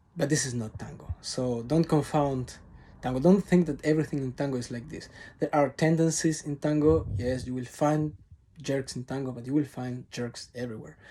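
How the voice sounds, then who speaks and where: A man with a Spanish accent speaks in a fairly high, dark, mellow voice with ordinary pitch variation, on a very clean recording with a silent background. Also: moderate pace, big swings in loudness. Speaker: tango teacher. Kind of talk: vlog monologue to camera. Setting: recording alone to camera. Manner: unscripted, off-the-cuff.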